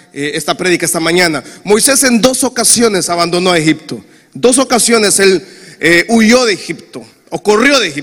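Lively intonation and an animated tone carry the speech at a moderate pace. Noticeable background noise sits behind it. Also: man. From Honduras. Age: 40s. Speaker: pastor. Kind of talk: sermon.

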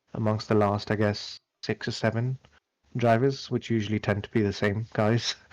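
An unremarkable speaking voice goes at a moderate pace, the sound dry and close with no echo, on a very clean recording with a silent background. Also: man. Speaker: Formula One podcast host. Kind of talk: casual sports discussion.

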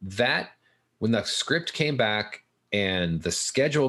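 With a normal speaking voice and an American accent, a man talks at a moderate pace and fairly low pitch, his intonation lively. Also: quiet background. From Southern California. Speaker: film finance consultant. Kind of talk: interview.

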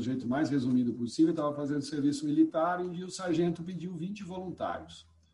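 The man's voice is fairly high in pitch, with a dark, mellow tone and some breathiness. He speaks very fast, barely pausing. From São Paulo state interior, Piracicaba. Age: 50s. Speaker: poet and eco-activist. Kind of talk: casual interview.

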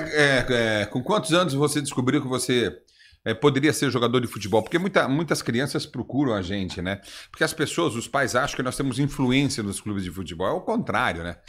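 This man has a normal speaking voice. He talks fairly quickly with lively intonation. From Brazil, interior São Paulo (Osvaldo Cruz). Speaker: podcast host. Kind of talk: casual chat.

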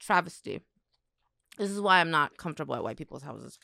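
This woman's voice has lively intonation, an animated tone and some vocal fry. The sound is dry and close with no echo. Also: very clean recording, silent background. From South Korea, moved to US at eight. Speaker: podcast co-host, content creator. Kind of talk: casual chat.

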